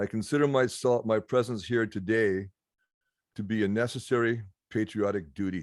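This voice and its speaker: The speaker has a western Canadian accent. The pace is moderate, with ordinary pitch variation. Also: man. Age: 60s. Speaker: political candidate. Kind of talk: campaign speech. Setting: video call.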